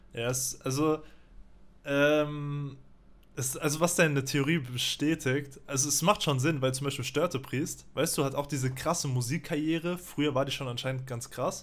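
A man with an unremarkable speaking voice, fairly even intonation and a moderate pace. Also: fairly high pitch for a man. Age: 20s. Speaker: streamer; guest. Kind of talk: casual chat. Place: home room. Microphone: studio mic.

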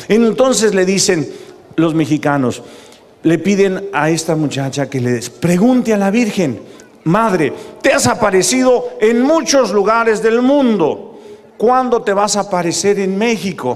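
An animated tone with very wide pitch swings at a fairly slow pace. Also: man, high pitch for a man. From Mexico. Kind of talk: preaching talk to live audience. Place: stadium. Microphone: handheld.

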